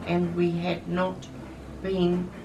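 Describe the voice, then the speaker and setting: A woman with a New Zealand accent and a very deep, low pitch, against noticeable background noise. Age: 70s. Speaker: Anglican minister. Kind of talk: interview answer.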